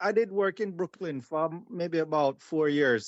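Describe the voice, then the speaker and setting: This man speaks with a Jamaican accent at a fairly slow pace. His pitch is fairly high, with ordinary variation. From Jamaica, countryside. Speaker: podcast guest, former schoolmate. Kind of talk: casual chat.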